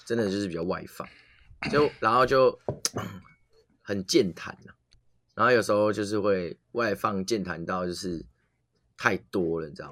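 At a moderate pace and fairly low pitch, a man speaks with ordinary pitch variation, big swings in loudness and long, frequent pauses. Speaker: podcast co-host. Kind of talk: casual chat.

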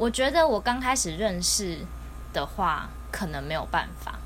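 Audible room echo surrounds a woman speaking in a Taiwanese accent. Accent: Taiwanese Mandarin. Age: late 20s. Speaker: podcast co-host. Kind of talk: casual chat. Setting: home recording.

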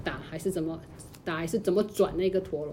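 Her tone comes across dark and mellow. The woman keeps to a medium pitch. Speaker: podcast co-host. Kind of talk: casual chat.

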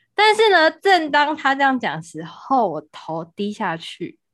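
Against a quiet background, a woman talks in an animated tone. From Taiwan. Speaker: podcast co-host, salesperson. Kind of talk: casual chat. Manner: animated, frequent laughter.

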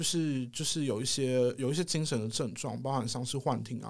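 A man talks at a fairly quick pace in a medium pitch. It is a plain, everyday voice on a very clean recording with a silent background. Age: 30s. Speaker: hospital psychiatric social worker. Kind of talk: casual interview chat.

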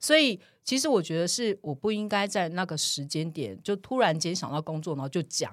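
On a very clean recording with a silent background, a woman talks at a fairly quick pace. Her pitch is fairly low and her intonation lively. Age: 40s. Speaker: podcast co-host. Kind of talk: casual chat.

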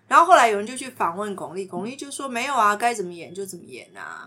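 Bright and sharp in tone, a woman speaks at a fairly quick pace. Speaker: podcast host and counselor-style teacher. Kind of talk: casual chat with light counseling.

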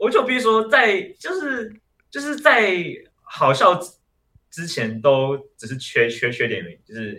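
A man talks at a fairly slow pace with big swings in loudness, and the room echo is audible. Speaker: stand-up comedian. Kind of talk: casual chat. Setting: online recording. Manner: halting.

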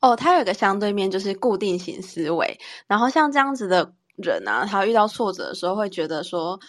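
A normal speaking voice with lively intonation and a fairly quick pace, over a quiet background. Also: woman. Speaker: podcast co-host, teacher. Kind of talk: casual chat.

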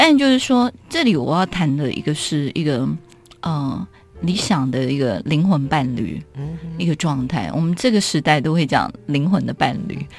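A woman's very deep, low voice, fairly slow, with very wide pitch swings and music in the background. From Taiwan, Keelung. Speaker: author. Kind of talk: interview about her writing.

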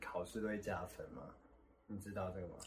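A man talks very fast while noticeable noise runs in the background. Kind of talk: casual chat.

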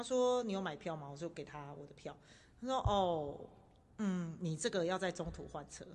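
This woman has an unremarkable speaking voice with a fairly low pitch. She uses lively intonation and big swings in loudness at a moderate pace. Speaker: podcast host sharing travel stories. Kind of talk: casual chat.

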